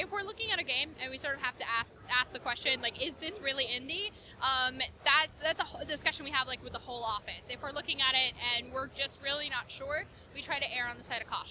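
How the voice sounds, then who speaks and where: At a very fast pace, a woman speaks in a high pitch with lively intonation. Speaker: marketing lead for an indie game subscription company. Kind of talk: interview. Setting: gaming convention floor.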